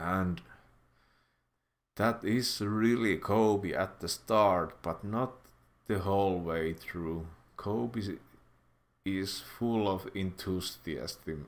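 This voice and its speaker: A man with a Finnish accent speaks very slowly at a fairly low pitch, with ordinary pitch variation and long, frequent pauses, on a very clean recording with a silent background. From Finland. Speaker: YouTuber, commentator. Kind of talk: casual commentary monologue. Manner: halting, many fillers.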